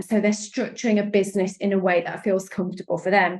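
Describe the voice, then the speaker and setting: A woman talks at a medium pitch in a British accent. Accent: British accent, noticeable. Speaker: sales and strategy coach. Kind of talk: interview podcast. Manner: animated, enthusiastic.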